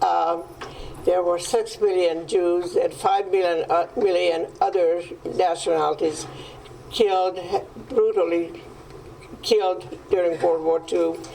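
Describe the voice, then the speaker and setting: A woman with a Hungarian accent speaks at a very even loudness, leaving long, frequent pauses over noticeable background noise. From Hungary. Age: 90s. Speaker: Holocaust survivor. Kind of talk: testimony. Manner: halting. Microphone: microphone problem.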